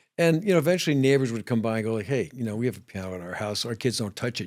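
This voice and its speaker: Speaking very fast with lively intonation, a man with an American accent holds a medium pitch on a very clean recording with a silent background. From New York City, the Bronx. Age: 70s. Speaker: ER doctor and musician. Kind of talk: interview chat. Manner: halting.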